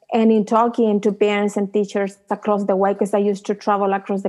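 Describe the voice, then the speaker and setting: Talking at a fairly quick pace, a woman with a Chilean accent keeps a monotone, flat intonation. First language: Spanish. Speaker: tech startup founder. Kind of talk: interview.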